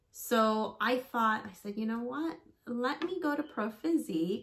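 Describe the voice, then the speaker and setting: Lively intonation from a woman speaker. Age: 40s. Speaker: fitness vlogger. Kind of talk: casual vlog talk to camera; casual vlog chat. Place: home room.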